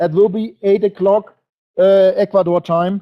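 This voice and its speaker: Talking at a moderate pace, a man has a German accent. His pitch is high. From Germany. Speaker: network marketing presenter. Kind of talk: webinar presentation. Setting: online webinar broadcast. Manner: animated.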